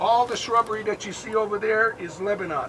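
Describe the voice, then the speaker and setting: Speaking in an American accent, a man raises and projects his high voice at a moderate pace over noticeable background noise. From United States. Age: 70s. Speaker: war veteran and kibbutz tour guide. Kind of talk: guided tour talk to visitors.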